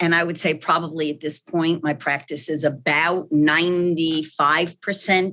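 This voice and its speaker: A woman with a slight New York accent talks fairly slowly in a very deep, low voice with monotone, flat intonation. The recording is very clean, with a silent background. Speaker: clinical psychologist. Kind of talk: podcast interview.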